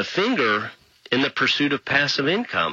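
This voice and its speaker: Delivered at a fairly quick pace, the speech has lively intonation over noticeable background noise. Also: man. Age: 40s. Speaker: radio host. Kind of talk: radio talk show monologue.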